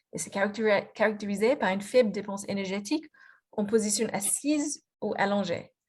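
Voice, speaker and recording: Speaking at a fairly quick pace, a woman with a slight Australian accent sounds somewhat breathy, her medium pitch showing ordinary variation. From Australia, Melbourne. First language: English (speaking French). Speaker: physiotherapist and researcher. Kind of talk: lecture presentation. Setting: video conference. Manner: halting, many fillers and restarts.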